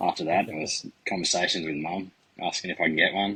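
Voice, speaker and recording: A man with an Australian accent. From Australia, Central Coast NSW. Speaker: reptile breeder. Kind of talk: podcast interview.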